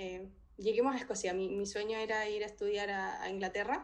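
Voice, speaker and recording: A woman with a Chilean accent, fairly even intonation, and audible room echo. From Chile, Talca. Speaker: philosophy doctoral researcher. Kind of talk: interview.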